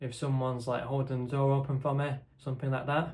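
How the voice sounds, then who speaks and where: Quiet and somewhat breathy, a man speaks in a flat monotone with audible room echo. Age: 20s. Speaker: content creator with a stammer. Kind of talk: casual chat to camera. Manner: halting.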